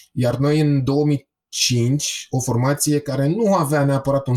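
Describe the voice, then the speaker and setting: The tone is dark and mellow, somewhat breathy. The recording is very clean, with a silent background. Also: man. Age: 40s. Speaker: punk band singer. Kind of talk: casual chat.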